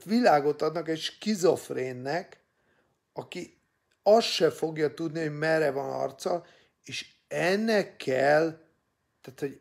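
Against a quiet background, a man with fairly high pitch and ordinary pitch variation speaks at a very slow pace. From Hungary. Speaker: political opinion vlogger. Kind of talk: opinion monologue. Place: home room. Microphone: phone near.

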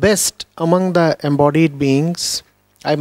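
Over a quiet background, a man talks at a fairly slow pace with ordinary pitch variation, the sound dry with no echo. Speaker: spiritual teacher. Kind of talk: lecture. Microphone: studio mic.

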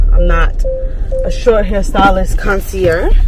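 Clear music plays in the background as a woman speaks in a dry sound with no echo. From Brooklyn, New York; New York. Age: 30s. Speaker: lifestyle vlogger. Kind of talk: casual vlog talk to camera. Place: car. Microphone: phone near.

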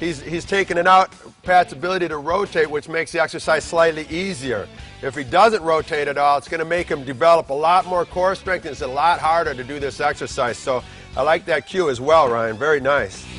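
Faint music plays behind a man who speaks at a fairly quick pace with ordinary pitch variation. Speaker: fitness trainer host. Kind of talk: instructional commentary. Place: gym.

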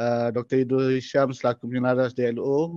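A man's voice against a quiet background. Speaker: lecturer, digital learning unit head. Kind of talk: online workshop lecture. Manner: casual, conversational.

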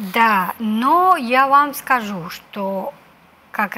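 A woman with a Spanish accent speaks in a fairly high pitch and a bright, sharp tone. Her pitch swings very widely. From Cuba. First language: Spanish (speaking Russian). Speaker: ambassador; guest. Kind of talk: interview. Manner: halting, many hesitations. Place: studio. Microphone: lapel.

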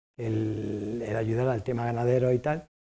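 The background stays quiet. This man's tone is dark and mellow. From Spain. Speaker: aid worker, foundation president. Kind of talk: lecture. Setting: stage with audience. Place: stage.

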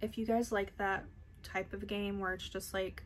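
A woman speaks at a moderate pace while light background noise runs underneath. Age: 30s. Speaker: beauty YouTuber. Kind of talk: casual unboxing vlog. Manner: animated. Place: home room. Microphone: phone near.

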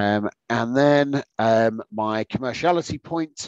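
Against a quiet background, a man talks with a British accent. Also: dry sound with no echo. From UK. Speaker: accountancy exam tutor; exam tutor. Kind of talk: online exam-prep webinar lecture. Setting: video call. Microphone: webcam.

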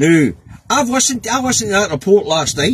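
A man's high voice in a Scottish accent, with very wide pitch swings, a moderate pace, dry sound with no echo and light background noise. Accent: Scottish (Angus). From Scotland. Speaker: political vlogger, truck driver. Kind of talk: casual political commentary monologue. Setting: in a truck cab. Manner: informal, hesitant with many fillers. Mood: exasperated, animated. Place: car. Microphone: phone near.

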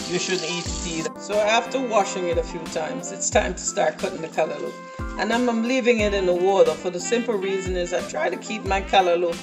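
Very fast speech with clear music in the background. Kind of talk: cooking tutorial. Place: kitchen. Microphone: phone near.

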